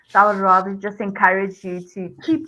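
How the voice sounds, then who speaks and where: Bright and sharp in tone, a woman speaks at a medium pitch. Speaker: startup coach. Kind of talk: coaching feedback in a live video session.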